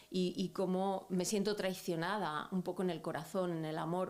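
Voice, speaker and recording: A woman's medium-pitched, monotone, flat voice at a moderate pace. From Andalusia, Spain (Almería). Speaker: activist. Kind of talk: interview. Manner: hesitant, reflective.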